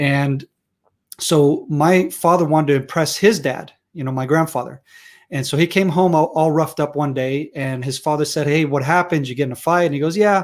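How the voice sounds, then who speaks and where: The voice moves at a fairly quick pace with fairly even intonation on a very clean recording with a silent background. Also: man, fairly high pitch for a man. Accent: American. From Israel. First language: Hebrew. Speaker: security and defense expert. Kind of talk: interview.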